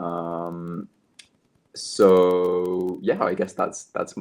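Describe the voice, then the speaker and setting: A man speaks with a British accent. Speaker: language content creator. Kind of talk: interview. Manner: hesitant, many fillers and repeats; presenter-like delivery.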